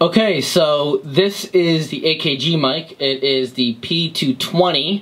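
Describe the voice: A man with a fairly bright tone, speaking at a slow pace. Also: fairly high pitch for a man, ordinary pitch variation.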